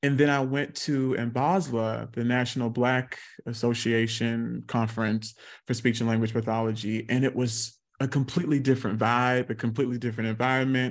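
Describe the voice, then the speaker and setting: Against a quiet background, a man with an American accent talks at a fairly quick pace in a plain, everyday voice, medium in pitch with fairly even intonation. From South Carolina. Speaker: speech-language pathologist and actor. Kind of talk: interview.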